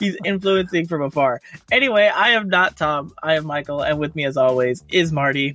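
In a plain, everyday voice, the talker uses ordinary pitch variation. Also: man. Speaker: podcast co-host. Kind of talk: casual chat.

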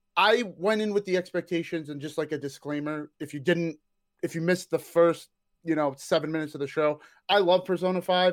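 An animated man speaks at a fairly quick pace. His pitch sits fairly high, with ordinary variation. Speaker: Persona fan and hype man. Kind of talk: casual chat. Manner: animated, joking.

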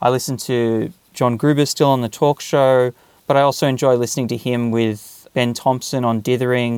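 A man with an Australian accent speaks at a moderate pace. His medium-pitched voice is monotone, with flat intonation. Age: 40s. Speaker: podcast listener and tool builder. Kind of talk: interview.

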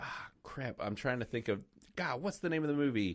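On a very clean recording against a silent background, a man talks with ordinary pitch variation. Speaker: film podcast host. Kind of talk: casual chat. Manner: halting.

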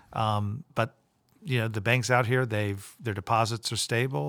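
A man speaks at a fairly slow pace with an American accent, a medium pitch and ordinary pitch variation, in an ordinary speaking voice on a very clean recording with a silent background. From Florida, Tampa. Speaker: central bank president. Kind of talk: interview. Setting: in person.

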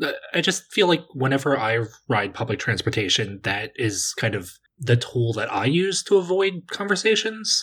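Speaking with an East Coast American accent, a man uses a fairly high pitch with very wide pitch swings. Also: moderate pace. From US East Coast. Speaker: podcast guest. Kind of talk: casual chat.

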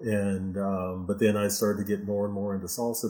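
A man talks with an American accent. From Houston, Texas. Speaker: salsa dance instructor. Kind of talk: interview. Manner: halting, many fillers.

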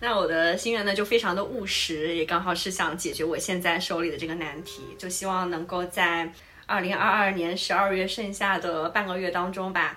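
A woman's medium-pitched voice at a moderate pace, with fairly even intonation and hardly any pauses, amid noticeable background noise and audible room echo. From southern China. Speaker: podcast host. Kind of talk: casual chat.

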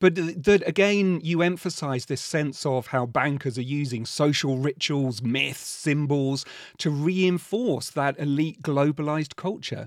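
With an ordinary speaking voice, a man speaks at a fairly slow pace and fairly high pitch, with hardly any pauses. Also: ordinary pitch variation. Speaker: podcast host. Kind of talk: interview conversation.

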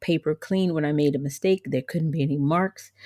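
An unremarkable speaking voice: a woman with an American accent, fairly low pitch and fairly even intonation, talking at a fairly quick pace. The recording is very clean and dry, close with no echo and a silent background. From US South, Georgia. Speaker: podcast host. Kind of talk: solo podcast monologue.

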